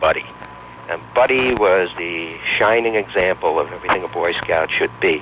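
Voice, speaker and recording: A man's fairly low voice with ordinary pitch variation against noticeable background noise. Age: 60s. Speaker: talk radio caller. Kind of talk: call-in personal story.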